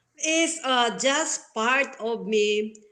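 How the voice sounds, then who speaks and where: A high-pitched woman with a non-native accent speaks with lively intonation. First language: not English. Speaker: founder of online show platform, show host. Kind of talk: interview conversation. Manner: hesitant, many fillers.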